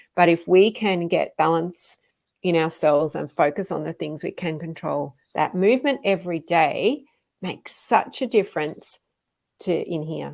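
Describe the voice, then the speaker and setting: Here a woman speaks at a moderate pace with fairly low pitch. Her pitch varies in an ordinary way on a very clean recording with a silent background. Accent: Australian. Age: 50s. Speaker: fitness coach. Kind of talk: live stream talk. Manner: casual, with frequent fillers.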